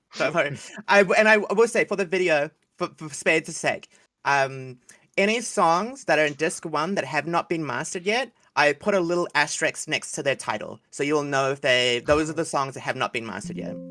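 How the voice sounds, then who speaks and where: With a New Zealand accent, a man speaks at a fairly quick pace and fairly high pitch, his intonation lively and his tone bright and sharp. The recording is very clean, with a silent background and a dry, close sound with no echo. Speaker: animation series creator. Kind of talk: casual livestream chat.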